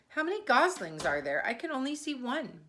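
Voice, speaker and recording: A woman puts on a character voice pitched high. Her pitch swings very widely. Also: fairly quick pace. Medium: read story.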